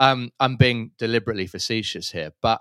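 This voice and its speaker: A man with an English accent speaks at a medium pitch. The sound is dry and close with no echo, in a very clean recording with a silent background. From London, England.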